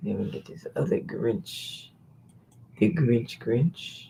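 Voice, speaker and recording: A man talks at a very slow pace with very wide pitch swings. Noticeable background noise is present. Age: 60s. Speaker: online seller and YouTuber. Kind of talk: live stream. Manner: casual, animated.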